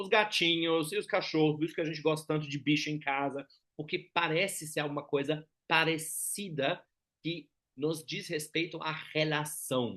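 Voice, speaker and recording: Speaking with a German accent, a man has a bright, sharp tone and a fairly high pitch with fairly even intonation. He keeps a moderate pace against a quiet background. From Germany. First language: German (speaking Portuguese). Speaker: lecturer on personality typology. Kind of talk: lecture. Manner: conversational, frequent tag questions.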